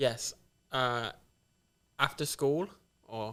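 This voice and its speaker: Medium-pitched man with an English accent, bright and sharp, with fairly even intonation. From England, Nottingham. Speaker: tattoo shop owner. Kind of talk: casual chat.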